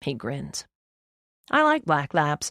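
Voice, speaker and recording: A put-on character voice at a low-to-middle pitch. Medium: read story. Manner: confident, offbeat.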